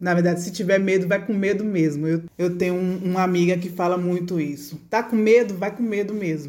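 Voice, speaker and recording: Her tone dark and mellow, a woman speaks at a fairly quick pace with fairly even intonation. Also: medium pitch for a woman. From Brazil, Bahia (Feira de Santana). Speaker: food engineer and consultant. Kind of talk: interview.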